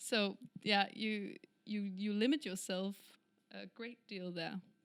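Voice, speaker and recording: Speaking at a very slow pace with a Danish accent, a woman shows big swings in loudness. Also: medium pitch for a woman, fairly even intonation. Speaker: singer-songwriter. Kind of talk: interview.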